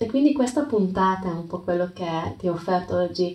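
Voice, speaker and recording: Moderate pace, ordinary pitch variation and a calm, gentle tone, with a non-native accent. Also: woman. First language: not Italian (speaking Italian). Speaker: yoga teacher and podcast host. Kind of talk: reflective talk with storytelling. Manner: halting, with hesitations and repeats.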